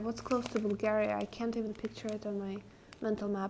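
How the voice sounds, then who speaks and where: The speech comes at a very fast pace with an Eastern European accent. Intonation stays monotone and flat. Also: woman. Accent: Eastern European accent, noticeable. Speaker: game streamer. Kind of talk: live stream chat with viewers.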